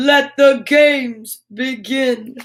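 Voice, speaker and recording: The voice is a put-on character voice. It is pitched high. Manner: booming, heroic, exclaiming.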